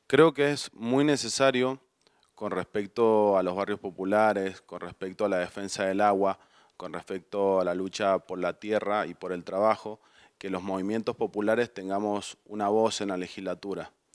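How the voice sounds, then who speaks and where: Against a quiet background, a man speaks at a moderate pace with a fairly low pitch and fairly even intonation. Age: 30s. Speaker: lawyer and political candidate; candidate. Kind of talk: campaign interview speech. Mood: earnest, persuasive. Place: studio. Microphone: handheld.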